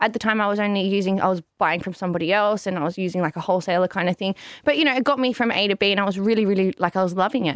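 A woman's medium-pitched voice with an Australian accent, very fast with hardly any pauses and ordinary pitch variation, in a very clean, silent-background recording with a dry, close sound and no echo. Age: 20s. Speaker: business owner. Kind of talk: interview.

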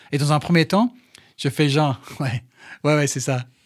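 Recorded very cleanly with a silent background and a dry, close sound with no echo, a man with a slight English accent speaks in a fairly high voice at a moderate pace, with ordinary pitch variation. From England. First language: English (speaking French). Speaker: sports journalist and TV presenter. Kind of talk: casual interview. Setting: studio.

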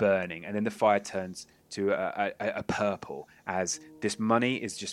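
The speaker reads in a natural way. The delivery stays natural from start to finish.

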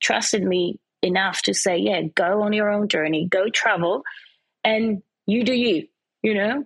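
With a dry, close sound and no echo, a woman has an unremarkable speaking voice at medium pitch, moderate pace and ordinary pitch variation. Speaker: presenter and fashion model. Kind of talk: casual interview chat.

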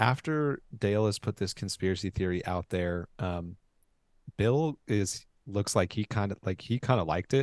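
Recorded dry and close with no echo over a quiet background, a man with an American accent and a fairly low pitch uses a normal speaking voice at a moderate pace with ordinary pitch variation. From Oklahoma. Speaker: podcast co-host. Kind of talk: casual chat.

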